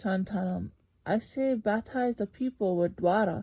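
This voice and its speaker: The very clean recording has a silent background and features a woman at a medium pitch. Her dark, mellow tone is somewhat breathy, and she talks at a fairly slow pace. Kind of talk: scripture reading.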